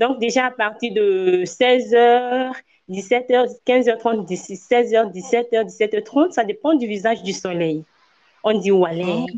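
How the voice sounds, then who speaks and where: Pausing long and often, a woman with a West African accent speaks at a very slow pace, her fairly high pitch showing ordinary variation. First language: Ewe (speaking French). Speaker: slam poet and Ewe language professional. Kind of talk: interview.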